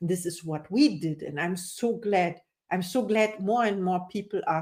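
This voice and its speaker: A woman with a non-native accent speaks at a moderate pace. Her pitch is fairly low. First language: not English. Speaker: coach. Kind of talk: interview.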